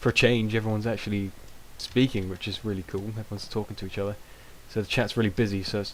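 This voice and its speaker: A man with a British accent and a fairly low pitch. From Britain. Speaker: gaming video creator. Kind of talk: gameplay commentary. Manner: hesitant, many fillers.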